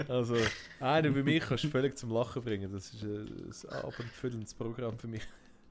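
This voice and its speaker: A man with a Swiss accent speaks at a fairly quick pace with a medium pitch. His intonation is fairly even, and noticeable background noise is present. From Switzerland. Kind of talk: casual let's play gaming commentary.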